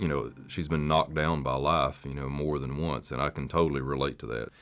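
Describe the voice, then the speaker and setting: On a very clean recording with a silent background, a man with a Southern US accent speaks at a fairly quick pace in a very deep, low pitch with monotone, flat intonation. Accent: Southern American. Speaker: country music singer. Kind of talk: interview answer.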